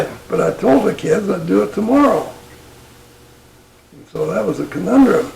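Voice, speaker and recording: A man with an American accent at a moderate pace, big swings in loudness, long, frequent pauses and noticeable background noise. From northern Utah, USA. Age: 80s+. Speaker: retired military pilot. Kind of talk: interview answer. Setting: at home.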